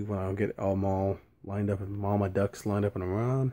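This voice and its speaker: Soft-spoken and fairly quick, a man talks in a fairly low, dark, mellow voice with monotone, flat intonation. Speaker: wrestling history video maker. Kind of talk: casual vlog monologue. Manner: soft-spoken, keeping voice down.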